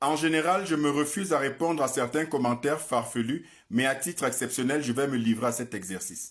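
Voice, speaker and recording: At a fairly quick pace, a man talks with ordinary pitch variation on a very clean recording with a silent background. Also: fairly high pitch for a man. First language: African mother tongue, not French (speaking French). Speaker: political commentator. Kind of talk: scripted monologue. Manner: formal.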